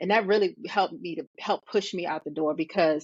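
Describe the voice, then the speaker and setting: A woman with an American accent and an ordinary speaking voice talks at a fairly quick pace, medium in pitch with ordinary pitch variation. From Richmond, Virginia, US. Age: 40s. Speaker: hairstylist and educator. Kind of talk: interview.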